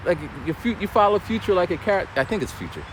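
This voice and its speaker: A man amid noticeable background noise. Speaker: vlogger and former battle rapper. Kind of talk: casual vlog storytelling. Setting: outdoors, walking a trail.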